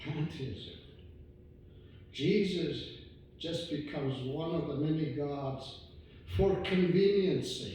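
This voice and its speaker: A fairly high-pitched man speaks very slowly with ordinary pitch variation and long, frequent pauses. Noticeable background noise and audible room echo fill the recording. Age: 60s. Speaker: visiting preacher. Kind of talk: sermon. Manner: halting, many fillers.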